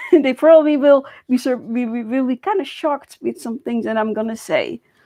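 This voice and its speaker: Talking at a fairly quick pace, a woman with a Dutch accent has a high pitch, lively intonation and a dark, mellow tone, recorded with a dry, close sound and no echo. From Netherlands. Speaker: YouTuber. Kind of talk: personal vlog monologue. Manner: halting.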